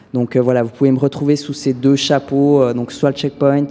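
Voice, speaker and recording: With noticeable background noise behind him, a man talks at a moderate pace in a fairly high pitch. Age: 20s. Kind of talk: interview testimony.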